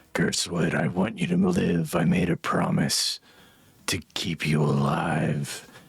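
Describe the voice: A man's soft-spoken, whispering put-on character voice, raspy and breathy, at a fairly slow pace.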